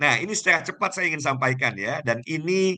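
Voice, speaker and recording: A man's bright, sharp tone at a moderate pace. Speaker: business school founder and trainer. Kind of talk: online motivational sales pitch to an audience. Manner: animated, persuasive.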